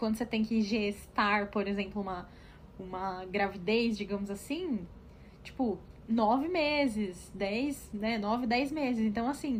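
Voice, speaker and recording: A woman talks in a somewhat breathy voice. Her pitch is fairly high, with ordinary variation. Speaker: podcast co-host. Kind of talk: casual chat. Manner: fast.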